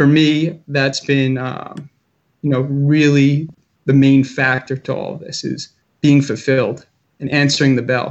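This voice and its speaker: Very slow, monotone, flat speech from a man with a fairly high voice. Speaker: school social worker. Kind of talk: casual interview.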